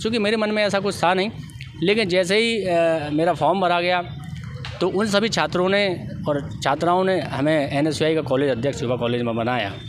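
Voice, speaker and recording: Lively intonation at a moderate pace and very even loudness, with noticeable background noise and audible room echo. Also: man, high pitch for a man. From India, Guna, Madhya Pradesh. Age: 30s. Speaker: politician, election candidate. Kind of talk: interview. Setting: outdoors. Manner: formal.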